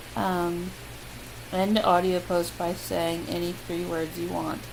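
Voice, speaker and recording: In a room with audible echo, a woman with an American accent talks with long, frequent pauses. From US Midwest. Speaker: vlogger. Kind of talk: casual chat. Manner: casual, hesitant with many ums.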